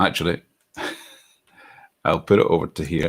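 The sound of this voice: A man speaks slowly in a low voice with fairly even intonation.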